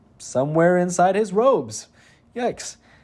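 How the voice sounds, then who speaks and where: Lively intonation marks the speech of a man with a high-pitched voice. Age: young. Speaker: gaming YouTuber. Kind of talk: scripted gameplay narration. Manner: fast.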